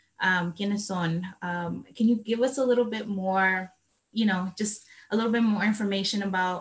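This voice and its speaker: A somewhat breathy voice at a moderate pace, with fairly even intonation. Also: woman, medium pitch for a woman. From El Salvador, city. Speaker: moderator. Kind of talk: Q&A interview.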